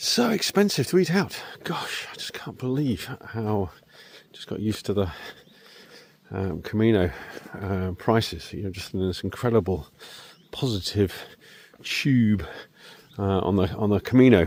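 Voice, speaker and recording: Speaking at a moderate pace in a southwest English accent, the voice has lively intonation, big swings in loudness and long, frequent pauses over noticeable background noise. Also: man, fairly low pitch for a man. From southwest England, Devon. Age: 60s. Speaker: vlogger. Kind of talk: casual vlog monologue. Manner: halting, many fillers.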